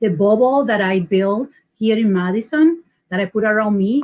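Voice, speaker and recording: With a Puerto Rican accent, a woman talks at a fairly slow pace with ordinary pitch variation. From Puerto Rico. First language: Spanish. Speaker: local election candidate. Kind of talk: panel interview. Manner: halting.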